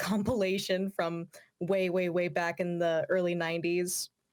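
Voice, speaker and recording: In a very clean recording with a silent background, a woman speaks in a normal speaking voice at medium pitch and a moderate pace. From Washington State, Yakima area. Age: 20s. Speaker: opera singer and YouTuber. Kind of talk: interview.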